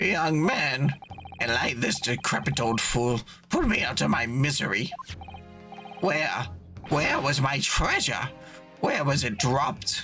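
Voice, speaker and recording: Put-on character voice from a man, medium pitch, fairly slow pace, with clear music in the background. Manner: dramatic, self-deprecating, pleading.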